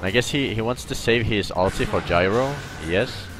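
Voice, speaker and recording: With a non-native accent, a man speaks at a moderate pace and ordinary pitch variation. Music plays in the background. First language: not English. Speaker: streamer and game analyst. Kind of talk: gameplay analysis commentary. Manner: halting, self-correcting.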